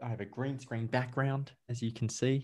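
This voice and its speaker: A man speaks with an Australian accent. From Australia, Victoria. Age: 30s. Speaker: life coach. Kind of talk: casual interview chat. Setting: video call.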